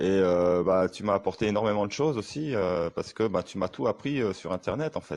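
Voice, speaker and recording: With lively intonation, a man speaks fairly slowly in a fairly low voice. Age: 40s. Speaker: online sales closer and coach. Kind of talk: testimonial. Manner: halting, many fillers.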